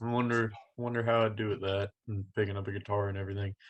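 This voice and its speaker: A man with a Texan accent, quiet background. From Texas (Denton County, Dallas-Fort Worth area). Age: 20s. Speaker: country singer-songwriter. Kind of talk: casual interview.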